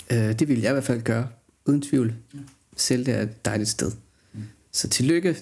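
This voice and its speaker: A man at a medium pitch with vocal fry, ordinary pitch variation and long, frequent pauses, at a moderate pace. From Denmark, Jutland (Højslev near Skive). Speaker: podcast co-host. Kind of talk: casual chat. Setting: studio. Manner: halting, many fillers.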